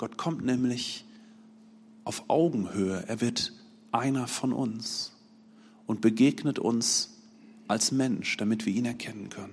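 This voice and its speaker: Speaking at a very slow pace with long, frequent pauses, a man uses medium pitch and fairly even intonation. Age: 40s. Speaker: lay preacher. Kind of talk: sermon.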